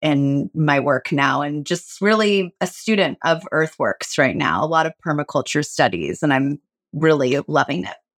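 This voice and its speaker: Speaking at a moderate pace, a woman with a very deep, low pitch is heard in a dry, close sound with no echo on a very clean recording with a silent background. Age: 40s. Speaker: actor and organic gardener. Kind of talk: casual chat.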